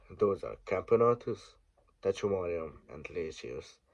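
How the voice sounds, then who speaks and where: A man speaks with a Hungarian accent. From Hungary. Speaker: ant keeper. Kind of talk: casual talk to camera.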